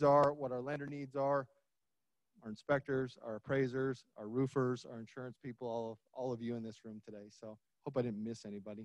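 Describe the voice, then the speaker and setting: A man speaks in a medium pitch at a fairly quick pace. His intonation stays fairly even. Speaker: title company representative. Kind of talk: sponsor pitch to audience. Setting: conference stage with audience. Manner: loud.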